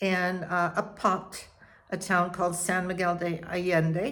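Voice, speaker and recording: Audible room echo surrounds a woman with an American accent whose bright, sharp tone comes at a fairly slow pace. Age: 80s+. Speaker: retiree vlogger. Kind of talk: personal storytelling. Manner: halting.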